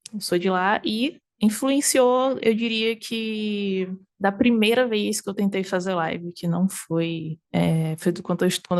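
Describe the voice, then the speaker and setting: The background stays quiet as a woman talks at a fairly slow rate. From Northeast Brazil, Aracaju, Sergipe. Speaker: variety game streamer. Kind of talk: interview conversation. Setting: at her home.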